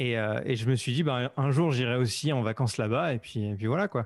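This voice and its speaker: A man's medium-pitched voice, an unremarkable speaking voice, with ordinary pitch variation and a moderate pace on a very clean recording with a silent background. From western France, Vendée near Nantes. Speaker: podcaster and YouTuber. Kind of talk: casual interview chat.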